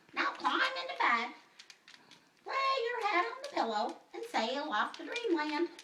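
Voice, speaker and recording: The cartoonish character voice is extremely high, moving through very wide pitch swings at a fairly slow pace. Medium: puppet.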